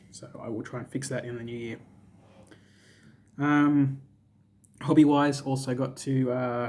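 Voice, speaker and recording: Speaking in a flat monotone, a man with an Australian accent holds a medium pitch. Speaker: gaming youtuber and aspiring author. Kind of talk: casual monologue to camera. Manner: casual, joking.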